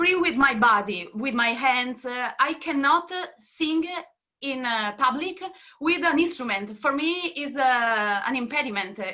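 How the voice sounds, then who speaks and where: Speaking at a fairly slow pace, a woman with a high-pitched voice and an Italian accent uses lively intonation. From northern Italy. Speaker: singer and singing teacher. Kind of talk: interview. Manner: halting.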